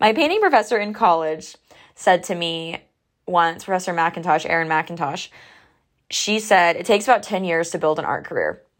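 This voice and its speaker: The recording is very clean, with a silent background. The speaker moves at a moderate pace with ordinary pitch variation. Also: woman, fairly low pitch for a woman. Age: 20s. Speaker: podcast host and emerging artist. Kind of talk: solo casual monologue. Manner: chatty, filler-heavy.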